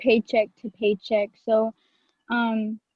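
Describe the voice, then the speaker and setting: A woman speaking at a fairly slow pace. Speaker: college student panelist. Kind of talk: panel discussion. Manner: halting, stutters.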